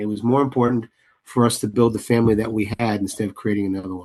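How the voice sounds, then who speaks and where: A man speaks in a medium pitch with an American accent. His intonation is monotone and flat. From New York, the Bronx. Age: 60s. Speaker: playwright and director. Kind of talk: interview. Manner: halting, many restarts.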